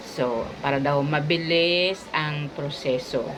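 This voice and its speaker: A woman speaks with a very deep, low pitch over noticeable background noise. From Philippines. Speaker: vlogger; store owner vlogger. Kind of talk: vlog narration. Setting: outdoors. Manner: casual. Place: shop. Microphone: phone near.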